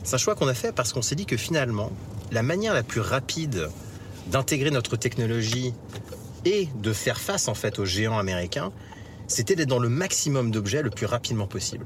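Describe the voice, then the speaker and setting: Over noticeable background noise, a man speaks with lively intonation and long, frequent pauses. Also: medium pitch for a man, fairly quick pace. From France. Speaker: tech entrepreneur. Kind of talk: interview. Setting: in a car.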